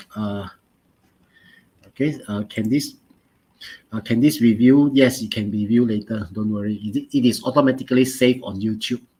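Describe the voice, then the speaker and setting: A man's dark, mellow voice with a Malaysian accent, ordinary pitch variation and a moderate pace. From Malaysia, Pontian, Johor. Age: 40s. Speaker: chemistry teacher. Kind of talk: online lesson. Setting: live online stream. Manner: halting, many fillers.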